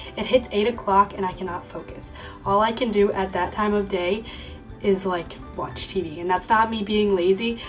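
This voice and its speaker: A woman at a medium pitch and moderate pace, with fairly even intonation, over music in the background. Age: young. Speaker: college student. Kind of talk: casual talk to camera.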